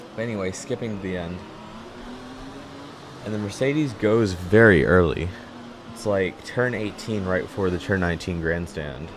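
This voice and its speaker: This man has a very deep, low voice and a relaxed tone, talking at a moderate pace with long, frequent pauses over noticeable background noise. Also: ordinary pitch variation. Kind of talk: gameplay commentary voiceover. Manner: casual, relaxed.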